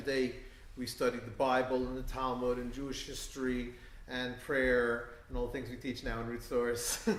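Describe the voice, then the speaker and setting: Over audible room echo, a man with a New York accent talks at a moderate pace and a medium pitch. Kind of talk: talk to an audience. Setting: synagogue event with live audience. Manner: hesitant, many fillers.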